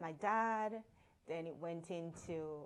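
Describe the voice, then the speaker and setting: Ordinary pitch variation runs through speech delivered very slowly. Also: woman. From Jamaica, Kingston. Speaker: author and transformational leader. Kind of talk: interview.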